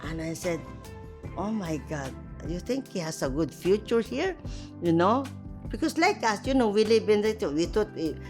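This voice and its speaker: A woman at a moderate pace with long, frequent pauses and music in the background. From Philippines. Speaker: nurse, his mother. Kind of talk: documentary interview answer.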